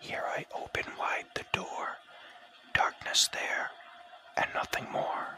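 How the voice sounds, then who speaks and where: Whispering at a very slow pace with long, frequent pauses and noticeable background noise. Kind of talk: whispered ASMR audiobook poetry reading. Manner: whispered.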